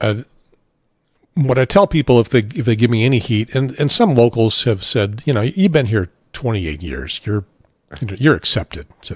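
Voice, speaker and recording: With an American accent and vocal fry, a man speaks at a moderate pace with lively intonation in a dry, close sound with no echo. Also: medium pitch for a man. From Chicago area. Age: 60s. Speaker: talk show host, former radio presenter. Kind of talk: casual chat.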